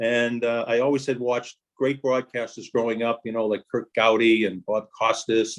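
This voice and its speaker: A man with an American accent speaks at a fairly quick pace. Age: 60s. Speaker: sports broadcaster. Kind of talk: casual interview chat. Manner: animated storytelling.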